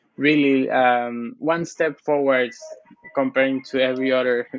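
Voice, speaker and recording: Music plays in the background as a man talks at a fairly slow pace. His medium-pitched voice has a monotone, flat intonation. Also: long, frequent pauses, very even loudness. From Argentina. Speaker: show jumping rider and horse dealer. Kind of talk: interview.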